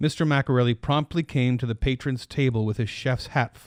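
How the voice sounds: What you hear is a natural reading voice.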